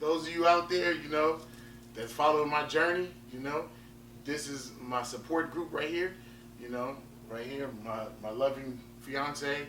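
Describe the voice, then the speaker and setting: A man's fairly high voice with big swings in loudness, long and frequent pauses, audible room echo, and noticeable background noise. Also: ordinary pitch variation. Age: 30s. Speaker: powerlifter and fitness vlogger. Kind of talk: vlog talk to camera. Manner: repetitive, halting with fillers.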